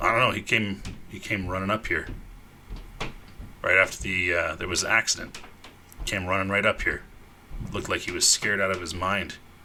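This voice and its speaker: A man puts on a raspy character voice with a very deep, low pitch and fairly even intonation, talking fairly quickly but with long, frequent pauses over clear background noise. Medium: actual play. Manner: blunt, wary.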